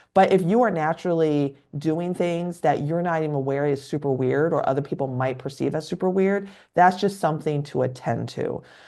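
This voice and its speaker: Words come at a fairly quick pace in a dark, mellow tone with a Californian accent. Pitch varies in an ordinary way over a quiet background. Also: woman, very deep, low pitch for a woman. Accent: Californian, informal-sounding. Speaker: psychiatrist. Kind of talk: educational podcast interview. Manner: naturally musical, informal; quieter than usual.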